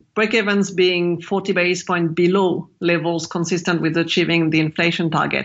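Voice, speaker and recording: A French accent at a moderate pace. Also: woman. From France. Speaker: macro strategist. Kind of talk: interview.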